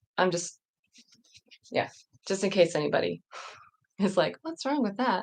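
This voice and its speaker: This voice carries an American accent. It belongs to a woman. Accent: northern US, Southern accent comes and goes. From northern US and US South. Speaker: livestream host. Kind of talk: casual chat. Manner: chatty, halting with fillers.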